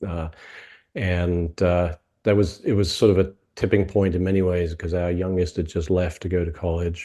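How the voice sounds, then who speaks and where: A man speaks at a moderate pace in a very deep, low pitch with a dark, mellow tone. His intonation is monotone and flat against a quiet background. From UK. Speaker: franchise consultant. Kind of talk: interview. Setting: video call.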